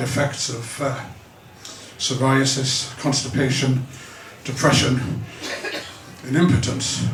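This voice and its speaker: A man speaks at a medium pitch over noticeable background noise. The room has an audible echo. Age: 60s. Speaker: stand-up comedian. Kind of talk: stand-up.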